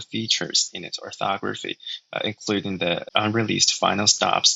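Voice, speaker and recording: In a Chinese accent, a man speaks at a moderate pace. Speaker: linguist and language tutor. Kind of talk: tutorial. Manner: hesitant, with frequent fillers.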